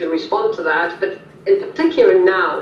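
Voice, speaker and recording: A woman with a German accent, amid audible room echo and noticeable background noise. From Germany. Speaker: policy analyst. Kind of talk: interview. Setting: video call. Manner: halting.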